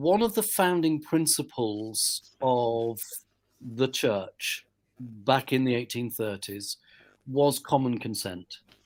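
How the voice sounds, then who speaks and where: At a very slow pace, a man with a British accent speaks at a medium pitch with lively intonation on a very clean recording with a silent background. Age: 60s. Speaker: church leader. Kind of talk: casual chat.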